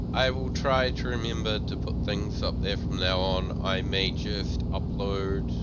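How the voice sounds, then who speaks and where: Noticeable background noise sits behind a man whose very deep, low voice carries lively intonation. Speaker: gaming live streamer. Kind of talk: casual live stream chat. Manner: loud.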